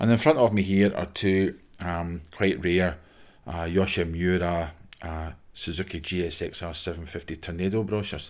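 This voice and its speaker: The recording is very clean, with a silent background. A man with a Glasgow accent speaks in a very deep, low voice at a moderate pace with fairly even intonation. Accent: Scottish (Glasgow). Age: 60s. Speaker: motorcycle brochure collector. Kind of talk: casual show-and-tell monologue. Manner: halting, many fillers.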